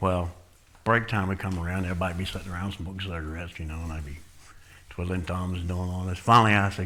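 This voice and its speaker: A man with a Southern US accent speaks at a very fast pace. His very deep, low voice keeps fairly even intonation. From Florida. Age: 60s. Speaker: recovering addict, ministry leader. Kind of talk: testimony. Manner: casual, conversational.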